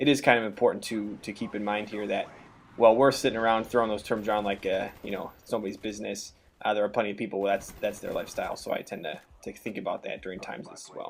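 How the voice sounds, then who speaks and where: A man speaks very fast in an American accent. His loudness swings widely up and down. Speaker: gaming commentator. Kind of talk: gameplay commentary. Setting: home recording, girlfriend in room. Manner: halting, many fillers.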